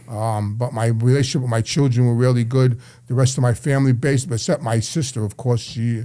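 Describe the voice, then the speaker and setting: In a New York accent, a man talks at a fairly quick pace with a dark, mellow tone and fairly even intonation. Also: medium pitch for a man. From New York City, Brooklyn and Queens. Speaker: addiction counselor, former mobster. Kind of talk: interview storytelling. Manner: halting, repetitive.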